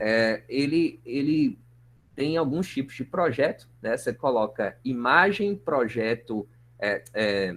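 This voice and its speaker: With a plain, everyday voice, a man talks at a fairly high pitch with lively intonation. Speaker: university lecturer. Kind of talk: online lecture.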